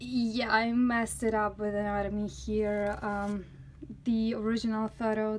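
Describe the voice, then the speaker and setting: A woman with a non-native accent at a very slow pace, over noticeable background noise. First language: not English. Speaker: artist. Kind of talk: casual talk to camera. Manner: talkative.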